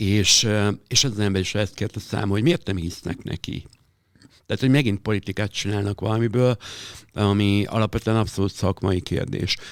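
A man's normal speaking voice, fairly low in pitch, with fairly even intonation at a moderate pace, on a very clean recording with a silent background. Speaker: drag performer and club host. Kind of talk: interview.

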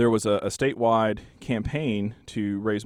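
A man's fairly low voice in a Texan accent, with fairly even intonation. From Texas Panhandle, Borger. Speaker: local history author. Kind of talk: interview.

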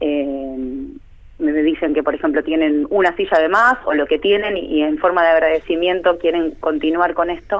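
A woman speaks at a fairly slow pace in a normal speaking voice, her pitch fairly low with ordinary variation. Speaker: art teacher. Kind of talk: interview.

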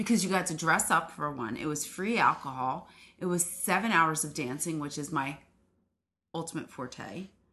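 An animated woman's voice, very deep and low in pitch, with lively intonation. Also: moderate pace. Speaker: guest. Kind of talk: casual banter. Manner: animated, laughing.

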